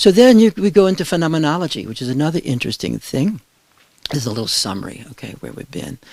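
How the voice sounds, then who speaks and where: Very wide pitch swings mark a man's fairly high voice as he speaks at a very fast pace. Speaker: meditation and philosophy teacher. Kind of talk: lecture.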